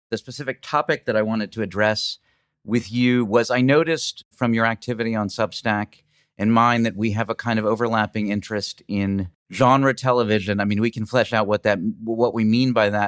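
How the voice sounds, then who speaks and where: A man with an unremarkable speaking voice talks at medium pitch and a fairly quick pace, his intonation fairly even. The very clean recording has a silent background and a dry, close sound with no echo. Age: 50s. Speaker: podcast host. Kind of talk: interview.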